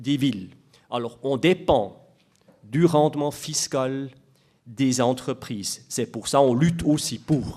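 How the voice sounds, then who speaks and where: In a very clean recording with a silent background, a man with a Swiss German accent speaks at a fairly slow pace, with a fairly high pitch and fairly even intonation. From Switzerland, Biel/Bienne. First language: Swiss German (speaking French). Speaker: municipal tax official. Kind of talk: conference talk. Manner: halting, many hesitations.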